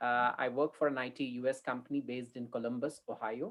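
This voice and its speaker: A man speaking at a moderate pace with an American accent. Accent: Indian English with a slight US tinge. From India. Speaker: mindset coach hosting an online meetup. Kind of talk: casual online meeting wrap-up.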